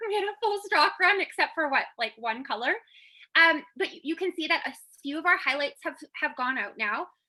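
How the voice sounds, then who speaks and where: A woman's raised, projected voice at extremely high pitch, bright and sharp in tone, with very wide pitch swings, big swings in loudness and a fairly quick pace, on a very clean recording with a silent background. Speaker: team leader in a makeup direct-sales business. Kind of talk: team call, motivational business update. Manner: fast.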